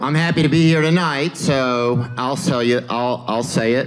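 Southern US accent from a male speaker. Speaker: stand-up comedian. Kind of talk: stand-up comedy set. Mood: laid-back, deadpan, playful. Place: stage. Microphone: handheld.

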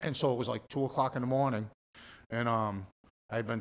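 A man with a Boston accent, at a very fast pace. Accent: Boston-area New England. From Massachusetts. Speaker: recovering addict; podcast guest. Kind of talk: testimony. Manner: animated. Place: studio. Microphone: studio mic.

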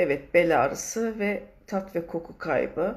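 Speaking at a very slow pace, a woman has a fairly low pitch. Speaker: live stream host. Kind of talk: casual live stream chat reading viewer comments. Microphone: phone near.

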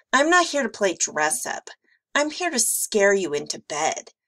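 Putting on a character voice, a woman speaks at a moderate pace and fairly high pitch, raspy and growling, with very wide pitch swings and dry, close sound with no echo. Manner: snarling, irritated.

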